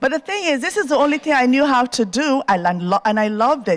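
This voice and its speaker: Her intonation lively, a woman speaks with an African accent in a dry, close sound with no echo. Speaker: TV host and entrepreneur. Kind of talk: keynote speech. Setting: stage with audience at university.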